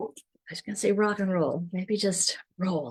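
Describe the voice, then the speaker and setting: Fairly low pitch from a woman, somewhat breathy, with ordinary pitch variation at a fairly slow pace. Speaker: business coach. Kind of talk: online workshop presentation. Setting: Zoom and Facebook live session.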